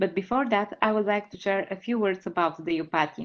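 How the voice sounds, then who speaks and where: Speech in a Bulgarian accent at a fairly quick pace. The pitch varies in an ordinary way. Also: woman. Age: 30s. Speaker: patient advocate. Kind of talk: presentation. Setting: webinar.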